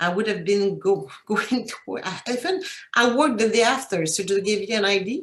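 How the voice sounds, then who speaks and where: A woman talks at a moderate pace in a medium pitch. Her intonation is lively. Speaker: cancer patient. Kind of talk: testimony. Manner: halting.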